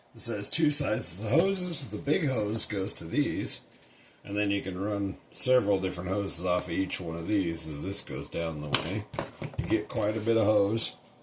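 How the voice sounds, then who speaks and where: Lively intonation marks this man's fairly low voice as he talks at a moderate pace. Background noise is noticeable throughout. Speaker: product reviewer. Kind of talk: product review tutorial. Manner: casual.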